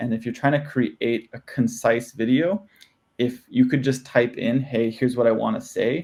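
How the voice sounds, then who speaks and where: A man talks at a moderate pace and medium pitch. His voice has vocal fry and ordinary pitch variation. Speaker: startup founder and presenter. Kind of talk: Q&A discussion. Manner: halting, many fillers.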